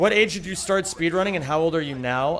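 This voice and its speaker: A man with an American accent speaks with very wide pitch swings. Noticeable background noise runs under his voice. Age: 30s. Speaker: video game streamer and speedrunner. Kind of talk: live stream chat while playing. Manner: casual, conversational.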